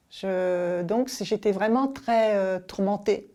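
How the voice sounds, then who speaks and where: Over a silent background in a very clean recording, a woman speaks at medium pitch in a dark, mellow tone with ordinary pitch variation. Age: 60s. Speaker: paralympic athlete and business executive. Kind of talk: interview testimony. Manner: hesitant, many fillers and restarts.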